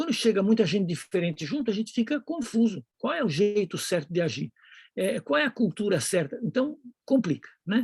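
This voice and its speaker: Speech moves at a moderate pace. The background is quiet. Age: 60s. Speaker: Bible teacher / preacher. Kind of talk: lecture. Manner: halting.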